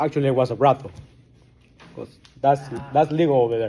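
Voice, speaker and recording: A man with a strong Guatemalan accent speaks at a fairly high pitch. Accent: thick Guatemalan Spanish. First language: Spanish. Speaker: recovering alcoholic. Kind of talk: testimony. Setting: support group meeting.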